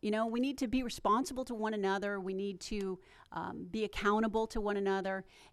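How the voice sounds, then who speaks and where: A woman with an American accent and fairly high pitch at a fairly quick pace, on a very clean recording with a silent background. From Smyrna, Tennessee (US South). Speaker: town council candidate. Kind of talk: candidate forum answer.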